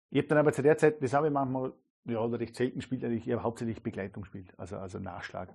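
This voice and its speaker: Very rapid male speech, loudness swinging widely. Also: medium pitch for a man, ordinary pitch variation. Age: 30s. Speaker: jazz and entertainment musician. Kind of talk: interview conversation. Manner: halting, many repetitions.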